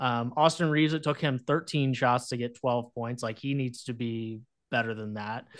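Here is a man with a plain, everyday voice. His medium pitch and fairly even intonation come at a moderate pace. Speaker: sports journalist guest. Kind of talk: casual sports chat.

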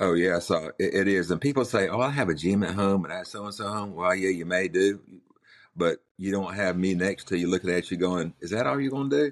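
A man with a North Carolina accent and a very deep, low-pitched voice. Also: ordinary pitch variation. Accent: Southern US (North Carolina coastal). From US South, Outer Banks of North Carolina. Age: 60s. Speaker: heart attack survivor, car dealership owner. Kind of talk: casual interview. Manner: blunt, outspoken.

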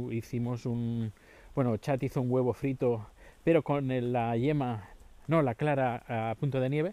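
A man's medium-pitched voice, dark and mellow in tone, at a fairly slow pace with fairly even intonation, on a very clean recording with a silent background. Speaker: podcaster. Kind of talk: casual monologue. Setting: outdoors walking the dog. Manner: halting.

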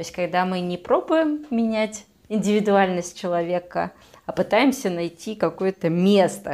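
A woman's normal speaking voice at a medium pitch, with lively intonation at a fairly slow pace. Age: 20s. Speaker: psychologist, podcast co-host. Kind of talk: casual chat.

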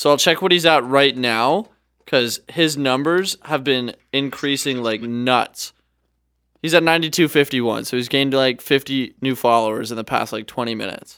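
A man with a Canadian accent has an unremarkable speaking voice, medium in pitch, with ordinary pitch variation and a moderate pace. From Canada. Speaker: podcast co-host and travel videographer. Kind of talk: casual chat. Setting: studio.

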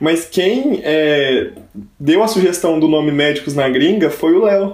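There is audible room echo as a man speaks in a high pitch with ordinary pitch variation. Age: 20s. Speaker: medical student. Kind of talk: casual chat.

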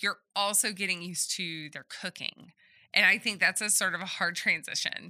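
With a slight Southern US accent, a woman speaks at a moderate pace and medium pitch, her bright, sharp tone and fairly even intonation captured in a very clean recording with a silent background and a dry, close sound with no echo. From Southeast Texas. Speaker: podcast co-host. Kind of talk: casual chat.

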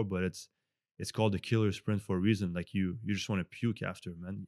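A man with a French Canadian accent at a fairly quick pace, fairly even intonation, a dry, close sound with no echo, and a very clean recording with a silent background. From Montreal, Canada. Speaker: celebrity fitness coach. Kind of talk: casual interview conversation. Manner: conversational, hesitant with fillers.

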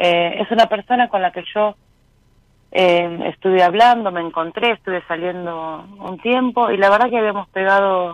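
A woman talks at a moderate pace in an ordinary speaking voice. Her medium pitch shows ordinary pitch variation. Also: dry, close sound with no echo. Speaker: caller. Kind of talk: casual chat with radio host. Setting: phone call to radio show.

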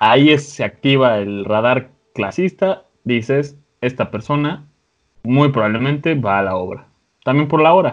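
With a Mexican accent, a man at medium pitch talks at a fairly slow pace and uses lively intonation. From Mexico, another state. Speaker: podcast host. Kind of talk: casual chat.

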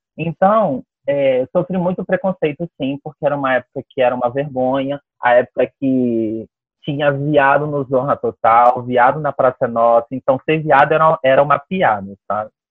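The man's pitch is fairly high, with ordinary variation. He keeps a moderate pace. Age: 20s. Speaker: dance teacher. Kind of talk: interview. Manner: halting.

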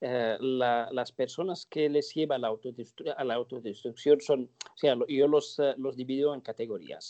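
Speaking at a very slow pace with hardly any pauses, a man's medium-pitched voice has a dark, mellow tone. His loudness swings widely. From northern Morocco (Larache). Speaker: terrorism and radicalization expert. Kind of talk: interview. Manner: halting, many fillers and repetitions.

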